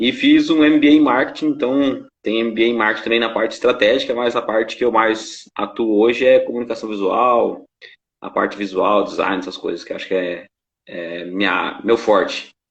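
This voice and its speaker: Here a man talks at medium pitch with ordinary pitch variation. His pace is moderate. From interior of São Paulo state, Brazil. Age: 30s. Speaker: graphic designer. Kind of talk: casual interview in a live stream. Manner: hesitant, many fillers.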